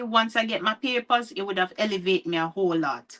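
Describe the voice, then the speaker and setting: With a Jamaican accent, a woman speaks at a medium pitch in a bright, sharp tone, using ordinary pitch variation. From Jamaica, near Mandeville (Spur Tree). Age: 40s. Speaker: author. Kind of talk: interview. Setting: livestream.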